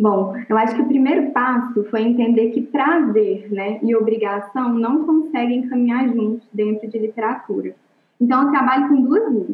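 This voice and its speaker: Speaking in a normal speaking voice, a woman keeps a moderate pace, her pitch fairly high and its variation ordinary. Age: 20s. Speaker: literature teacher. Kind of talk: interview.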